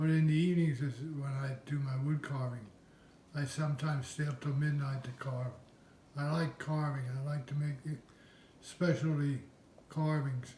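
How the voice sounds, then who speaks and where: A man's fairly high, dark and mellow, somewhat breathy voice with an American accent, monotone, flat intonation, moderate pace and long, frequent pauses. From Pennsylvania. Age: 70s. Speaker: wood carver. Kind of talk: interview.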